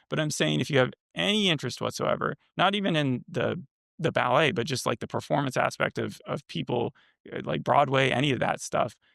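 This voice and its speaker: Recorded very cleanly against a silent background, with a dry, close sound and no echo, a man at medium pitch speaks fairly quickly with lively intonation and vocal fry. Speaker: podcast co-host reviewing TV. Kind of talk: casual chat. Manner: fast.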